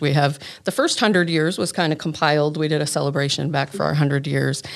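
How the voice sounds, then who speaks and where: Speaking very fast in a very deep, low voice, a woman with an American accent keeps her intonation fairly even. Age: 50s. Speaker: wedding officiant and church event coordinator. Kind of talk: casual chat.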